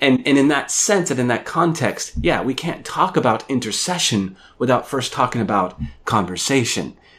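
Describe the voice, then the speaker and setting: A man's ordinary speaking voice, lively intonation, moderate pace. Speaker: professor. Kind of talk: radio show conversation. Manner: thoughtful, measured.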